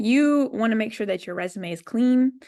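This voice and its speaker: At a fairly quick pace, a woman with an unremarkable speaking voice and fairly high pitch talks over a quiet background. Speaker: web development company founder, speaker. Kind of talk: presentation talk.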